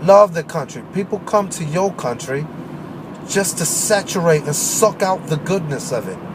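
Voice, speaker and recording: Over noticeable background noise, a man with an American accent speaks in a high pitch and an animated tone, with ordinary pitch variation. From Maryland, US. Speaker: internet radio host. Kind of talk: political rant monologue.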